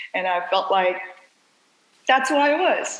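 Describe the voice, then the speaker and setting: A woman's lively intonation comes through with audible room echo. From South Korea. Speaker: dancer and dance company director. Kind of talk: podcast interview.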